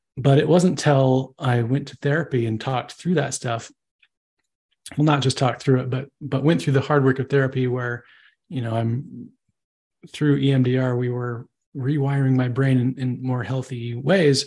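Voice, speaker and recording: A man's somewhat breathy voice sits at a medium pitch, his intonation fairly even. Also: moderate pace. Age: 30s. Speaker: advertising copywriter. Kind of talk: interview.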